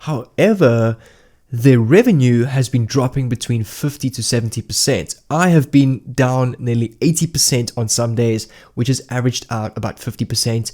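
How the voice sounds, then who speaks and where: A man with a dark, mellow tone and ordinary pitch variation is heard on a very clean recording with a silent background. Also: medium pitch for a man, moderate pace. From South Africa. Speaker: YouTuber and online entrepreneur. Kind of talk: casual talk to camera. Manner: off-the-cuff, with fillers.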